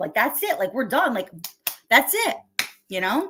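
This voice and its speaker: A woman with an American accent speaks loudly, her pitch swinging very widely. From New York area. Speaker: live streamer. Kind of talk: casual chat. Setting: live stream. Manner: fast.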